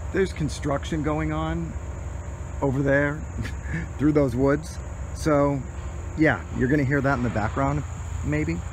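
Amid noticeable background noise, the voice moves through very wide pitch swings at a fairly slow pace with long, frequent pauses, the sound dry with no echo. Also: man. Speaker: urban explorer vlogger. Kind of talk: casual vlog chat. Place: open country. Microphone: phone near.

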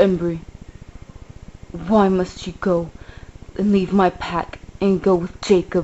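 A put-on character voice, female-sounding and whiny, middle in pitch, monotone and flat, at a fairly slow pace with long, frequent pauses. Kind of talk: comic overacting. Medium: puppet show. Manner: whiny, guilt-tripping.

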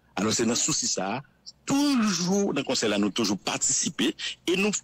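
A man's voice, with vocal fry and very wide pitch swings, comes across dry and close with no echo. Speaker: civil society representative. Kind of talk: interview.

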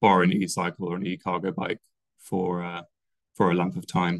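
Against a quiet background and with a dry sound with no echo, a man talks at a moderate pace in a very deep, low voice. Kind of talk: presentation. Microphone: video call.

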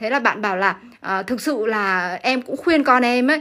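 Over a quiet background, a woman speaks at a fairly quick pace in a high pitch with a bright, sharp tone and ordinary pitch variation. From Vietnam. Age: 40s. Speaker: sewing and fashion design teacher; fashion design teacher. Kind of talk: livestream talk to viewers. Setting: classroom studio. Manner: frequent fillers and laughter. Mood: earnest, motivational. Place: workshop.

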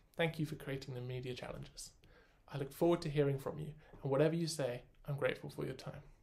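Speaking very fast, a man with a southern English accent has a fairly high pitch. His voice is somewhat breathy, and his intonation is monotone and flat. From southern England (Oxford). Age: 20s. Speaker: university student. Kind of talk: scripted application video. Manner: formal. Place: home room. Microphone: phone near.

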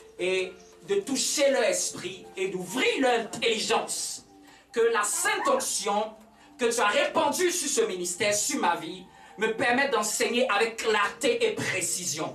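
A man talks at a very slow pace. Faint music plays behind him, and the room echo is audible. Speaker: pastor. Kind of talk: sermon. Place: church. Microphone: camera far.

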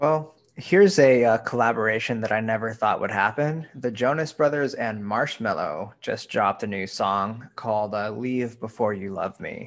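A man speaks in a plain, everyday voice at medium pitch and a moderate pace. He shows ordinary pitch variation and hardly any pauses. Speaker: podcast co-host. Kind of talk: casual podcast chat. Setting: studio. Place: home room.

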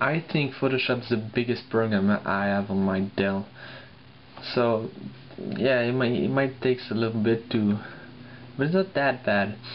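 A man with a non-native accent speaks at a fairly slow pace, with very even loudness and ordinary pitch variation. Long, frequent pauses break up his speech over light background noise. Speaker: laptop owner reviewing. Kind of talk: casual tech review talk. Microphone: phone near.

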